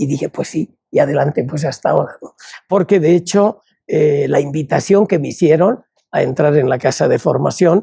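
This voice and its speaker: A man with a dark, mellow tone and vocal fry speaks at a moderate pace with ordinary pitch variation. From Spain, Palencia (Castile). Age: 80s+. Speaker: religious brother and educator. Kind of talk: interview.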